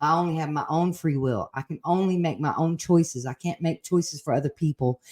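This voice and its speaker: A woman's very deep, low-pitched voice at a fairly quick pace with ordinary pitch variation, dry and close with no echo. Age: 60s. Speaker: retired nurse sharing recovery story. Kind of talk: casual conversation. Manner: halting.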